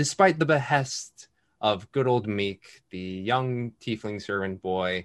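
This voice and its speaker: This man has an unremarkable speaking voice with a fairly low pitch. He talks at a fairly slow pace against a quiet background. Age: 50s. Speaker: tabletop game master. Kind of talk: game narration and casual chat.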